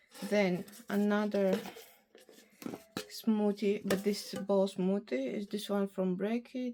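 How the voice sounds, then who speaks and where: A woman's medium-pitched voice, dark and mellow in tone, with fairly even intonation at a very slow pace. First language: Bulgarian. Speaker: beauty vlogger. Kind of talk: casual product review vlog. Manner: halting, with fillers.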